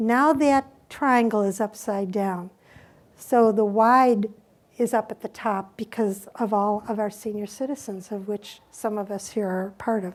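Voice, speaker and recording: An unremarkable speaking voice from a woman, fairly high in pitch with fairly even intonation, at a fairly slow pace on a very clean recording with a silent background. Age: 60s. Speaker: hospice nurse. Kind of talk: conference talk.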